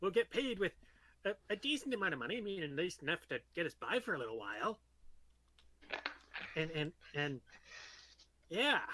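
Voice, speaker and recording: A man does a put-on character voice at a high pitch with very wide pitch swings. Long, frequent pauses break up his speech. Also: fairly quick pace. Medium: actual play. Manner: stammering, repeats words, hesitant.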